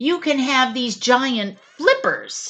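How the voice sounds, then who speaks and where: A woman's put-on character voice, high-pitched and growling. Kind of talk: bedtime story. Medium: read story.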